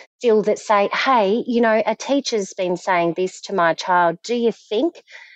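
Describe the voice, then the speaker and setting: A woman with a strong Australian accent at a fairly slow pace. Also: dry, close sound with no echo. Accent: broad Australian. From Australia, Victoria (Frankston). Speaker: survivor of domestic abuse, ex-wife of offender. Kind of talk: testimony.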